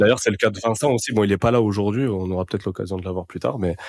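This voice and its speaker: On a very clean recording with a silent background, an unremarkable speaking voice keeps its intonation fairly even. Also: man. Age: 20s. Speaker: podcast host and young entrepreneur. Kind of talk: casual chat.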